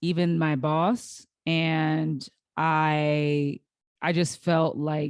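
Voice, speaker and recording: Against a quiet background, the fairly even intonation comes through in a dry, close sound with no echo. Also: woman. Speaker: podcast host. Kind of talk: solo podcast monologue. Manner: slow, halting.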